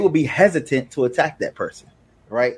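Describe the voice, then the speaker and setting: Here a man talks in a normal speaking voice. His pace is fairly quick and his pitch variation ordinary. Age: 40s. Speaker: solutions architect, guest on religion. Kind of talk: casual debate.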